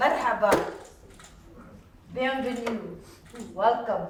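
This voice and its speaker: A woman speaks fairly slowly in a high voice. Noticeable background noise and audible room echo surround her. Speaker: emcee, scholar. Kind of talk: event emceeing. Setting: luncheon with audience. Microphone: no microphone.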